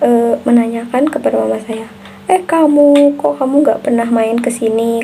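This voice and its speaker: Over noticeable background noise, a woman with a high pitch speaks at a fairly slow pace with ordinary pitch variation. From Central Java (Brebes), Indonesia. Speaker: university student. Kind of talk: recorded class assignment answer. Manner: hesitant with frequent fillers.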